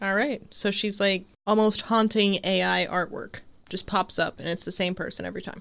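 The voice has vocal fry and monotone, flat intonation at a moderate pace. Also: woman, medium pitch for a woman. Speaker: podcast host. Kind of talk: casual chat. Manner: soft-spoken.

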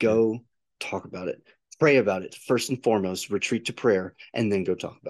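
Here is an unremarkable speaking voice. It moves at a fairly quick pace. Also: man, fairly low pitch for a man, ordinary pitch variation. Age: 40s. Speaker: podcast co-host. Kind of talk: casual chat about faith.

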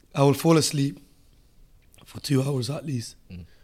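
A man with a medium pitch, somewhat breathy, speaking at a fairly slow pace. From Africa. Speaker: Muay Thai fighter and coach. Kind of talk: casual chat.

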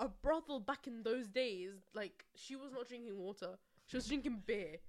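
Speaking with a London accent, a woman uses lively intonation. Her pitch is fairly high. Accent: London accent, non-rhotic. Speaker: podcast co-host. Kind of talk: casual chat. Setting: recorded on camera.

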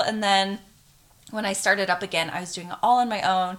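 Speaking at a very fast pace, a woman with an American accent uses a medium pitch. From Arizona. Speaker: influencer and swimsuit business owner. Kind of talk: casual chat.

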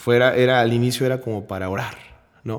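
At a fairly quick pace, a normal speaking voice carries fairly even intonation. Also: man. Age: 20s. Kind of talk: faith testimony in casual interview.

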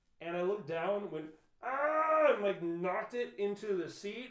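A man's pitch swings very widely as noticeable noise carries on in the background. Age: 30s. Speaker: podcast co-host. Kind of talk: casual chat. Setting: at home.

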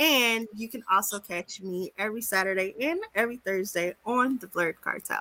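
Animated and bright, with a sharp tone, a woman speaks at a fairly high pitch with big swings in loudness and hardly any pauses. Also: ordinary pitch variation, moderate pace. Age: 30s. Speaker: podcast co-host. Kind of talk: casual chat.

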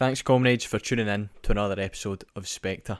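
Delivered at a fairly quick pace with an Scottish accent, the speech has monotone, flat intonation on a very clean recording with a silent background. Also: man. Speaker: podcast host. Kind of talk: scripted narration; casual chat.

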